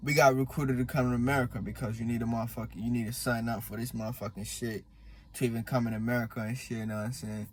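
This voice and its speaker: Against noticeable background noise, a man with a medium pitch talks at a very fast pace, his intonation fairly even. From born in Congo, partly raised in Malawi, in the US since 2013. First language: Swahili. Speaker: vlogger. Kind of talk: casual monologue. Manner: halting, many fillers.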